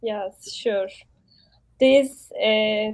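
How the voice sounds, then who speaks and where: A woman with a Turkish accent. Her pitch sits fairly high. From Turkey. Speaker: human rights commission member. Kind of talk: casual interview. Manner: halting, hesitant.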